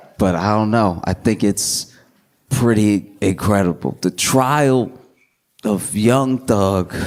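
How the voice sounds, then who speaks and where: Very slowly, a man talks in a fairly low pitch with ordinary pitch variation and very even loudness. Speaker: comedian. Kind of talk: stand-up comedy set. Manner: calm.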